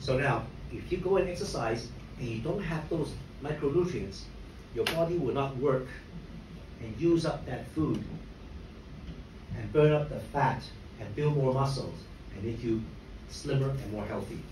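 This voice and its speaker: A man with a fairly high voice speaks at a moderate pace, with ordinary pitch variation and long, frequent pauses. Noticeable background noise and audible room echo fill the recording. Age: 60s. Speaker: motivational speaker at a company event. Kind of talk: talk to an audience. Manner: conversational, with frequent fillers.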